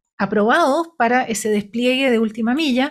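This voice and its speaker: Here is a woman with a normal speaking voice, fairly high in pitch with ordinary variation. The recording is very clean, the background silent. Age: 60s. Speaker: engineer and former government minister. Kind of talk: radio interview.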